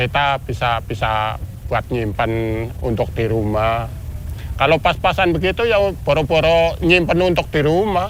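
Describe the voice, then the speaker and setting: Speaking at a fairly slow pace, a man's voice makes very wide pitch swings. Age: 60s. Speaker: port porter. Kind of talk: interview. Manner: casual.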